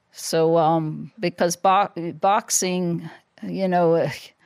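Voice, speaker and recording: In a very clean recording with a silent background and a dry, close sound with no echo, a woman with an American accent speaks in a fairly low pitch with fairly even intonation. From Ireland. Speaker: former professional boxer. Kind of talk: interview. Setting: studio.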